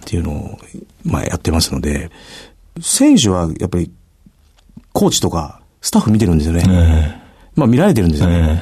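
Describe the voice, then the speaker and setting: A man speaks at a fairly quick pace in a dark, mellow tone, somewhat breathy. His pitch is very deep and low, and he leaves long, frequent pauses. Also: ordinary pitch variation. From Japan, Itami, Hyogo (Kansai). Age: 40s. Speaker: university rugby head coach. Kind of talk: radio interview.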